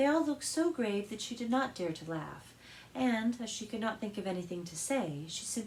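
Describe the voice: Lively intonation marks this plain reading aloud.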